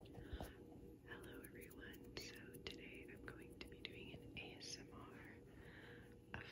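The sound is dry with no echo, but loud background noise runs behind it. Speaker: ASMR creator. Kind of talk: ASMR product tour. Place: home room. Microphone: phone near.

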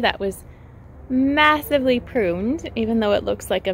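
A woman's voice comes through a dry sound with no echo and light background noise. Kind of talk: casual vlog chat. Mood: excited, cheerful. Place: garden. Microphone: phone near.

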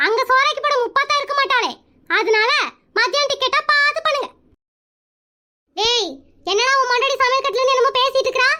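A woman performs a cartoonish character voice at an extremely high pitch. She talks at a fairly quick pace with ordinary pitch variation and very even loudness. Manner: boastful, bossy.

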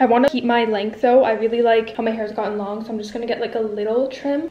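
A woman's voice carries audible room echo. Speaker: vlogger. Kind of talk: casual vlog chat. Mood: excited, upbeat. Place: home room. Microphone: phone near.

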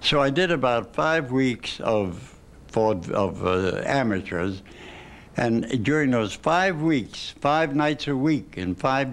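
A man speaks at a medium pitch. His pace is slow.

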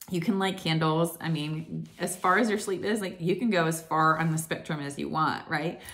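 Speaking at a moderate pace with hardly any pauses, a woman uses an unremarkable speaking voice, fairly low in pitch and fairly even in intonation. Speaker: wellness vlogger. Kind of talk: casual vlog chat. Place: home room. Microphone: phone near.

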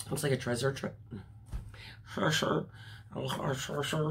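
A woman speaks with a raspy, fry-laden voice at an extremely low pitch.

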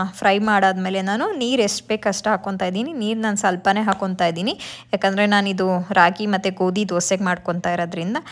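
With fairly even intonation, the woman talks at a fairly quick pace. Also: few pauses.

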